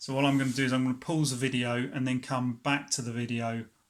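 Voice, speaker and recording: A man with a British accent at a medium pitch, moderate pace and fairly even intonation. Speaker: tech YouTuber. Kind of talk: tutorial. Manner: hesitant, filler words.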